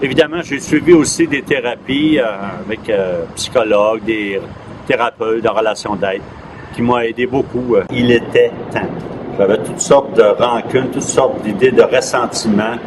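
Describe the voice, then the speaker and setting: Male speech at a moderate pace over noticeable background noise. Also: medium pitch for a man, ordinary pitch variation. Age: 60s. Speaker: street newspaper vendor. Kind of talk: documentary interview. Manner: halting, hesitant.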